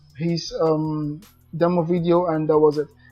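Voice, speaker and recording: With music in the background, a man with a non-native accent talks at a high pitch and a moderate pace. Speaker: affiliate marketer. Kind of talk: casual talk to camera. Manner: hesitant, many fillers.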